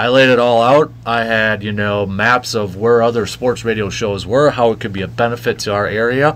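Fairly quick, fairly even speech in an American accent, an ordinary speaking voice from a man at medium pitch. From Medford, northern Wisconsin, US Midwest. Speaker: sports radio host. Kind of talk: casual interview chat.

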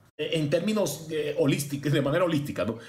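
A man's lively intonation comes through with audible room echo. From Cuba. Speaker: law professor. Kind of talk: interview.

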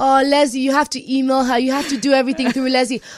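Over noticeable background noise, a woman speaks at a very fast pace in an animated tone and a high pitch. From Nigeria (Lagos). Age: 20s. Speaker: DJ and music entrepreneur. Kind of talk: interview.

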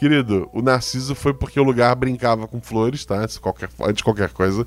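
A man's voice with music in the background. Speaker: podcast narrator and producer. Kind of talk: reading listener comments. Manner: stumbling over words.

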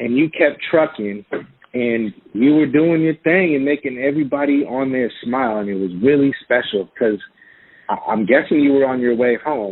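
Here is a man with an American accent and a normal speaking voice, medium in pitch. His pace is moderate, with ordinary pitch variation. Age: 40s. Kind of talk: casual chat. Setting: phone call.

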